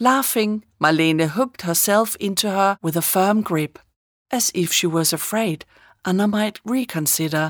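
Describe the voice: Read aloud plainly with ordinary pitch variation, the clip has a quiet background.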